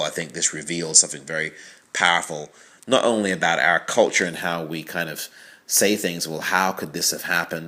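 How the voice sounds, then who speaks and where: In a very clean recording with a silent background, a man with a slight English accent speaks with a very deep, low pitch and a bright, sharp tone. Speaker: film critic. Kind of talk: audio commentary. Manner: conversational, with fillers.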